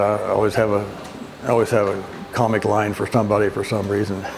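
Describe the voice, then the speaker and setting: Against noticeable background noise, a man talks at a fairly quick pace and a fairly low pitch. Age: 70s. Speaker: physical therapy patient. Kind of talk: testimonial interview. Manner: halting, with many fillers and repeats.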